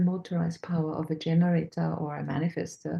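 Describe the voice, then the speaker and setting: A woman talks in a fairly low pitch with ordinary pitch variation. Her tone is dark and mellow and somewhat breathy. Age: 60s. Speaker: human design practitioner, guest on a fundraiser livestream. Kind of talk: livestream group talk, personal testimony. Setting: online livestream. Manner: halting, many fillers.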